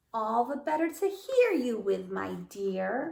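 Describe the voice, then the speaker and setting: Putting on a character voice, a woman growls in a gruff, high-pitched tone at a fairly slow pace. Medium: read story.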